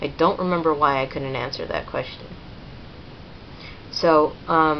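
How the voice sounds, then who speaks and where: A woman's very deep, low voice at a fairly slow pace, fairly even in intonation, over noticeable background noise. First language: Spanish. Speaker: vlogger. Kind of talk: personal testimony. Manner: halting, many fillers.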